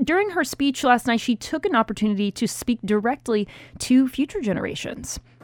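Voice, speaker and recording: A woman speaks in a normal speaking voice, fairly high in pitch with lively intonation and a fairly quick pace, on a very clean recording with a silent background. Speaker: radio host. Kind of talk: news podcast banter.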